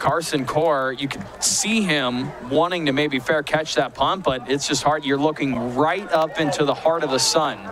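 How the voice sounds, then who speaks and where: Speech with hardly any pauses, a dry sound with no echo and noticeable background noise. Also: man, fairly high pitch for a man, ordinary pitch variation, moderate pace. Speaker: play-by-play commentator. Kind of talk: live football play-by-play commentary. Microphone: headset.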